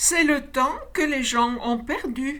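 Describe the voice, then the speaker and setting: The speaker puts on a high-pitched character voice. The pace is very slow, with light background noise. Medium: read story. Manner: mysterious, playful.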